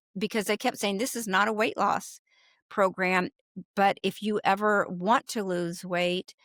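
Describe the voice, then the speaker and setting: A woman speaks at a medium pitch and moderate pace in a normal speaking voice. The recording is very clean with a silent background and a dry, close sound with no echo. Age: 60s. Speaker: food addiction recovery coach. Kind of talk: interview, personal story.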